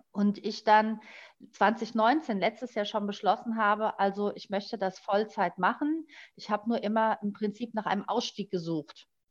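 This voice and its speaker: A woman's fairly high voice, an ordinary speaking voice, with ordinary pitch variation at a moderate pace. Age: 40s. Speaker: life coach, formerly in travel industry. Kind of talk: personal story in interview.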